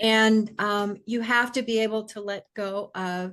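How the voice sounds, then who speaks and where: A woman at medium pitch with fairly even intonation and a very slow pace, over a quiet background. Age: 70s. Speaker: life coach and author. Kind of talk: interview conversation.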